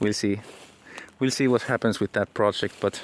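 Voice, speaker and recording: Speaking at a fairly slow pace with fairly even intonation, a man talks in a Finnish accent. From Finland. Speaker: aspiring entrepreneur and author, vlogger. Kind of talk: casual vlog monologue. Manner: halting, many repetitions.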